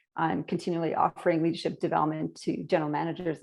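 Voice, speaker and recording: Very fast speech with a Canadian accent. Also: woman, quiet background. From Canada. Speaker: leadership consultant. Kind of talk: podcast interview. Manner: animated.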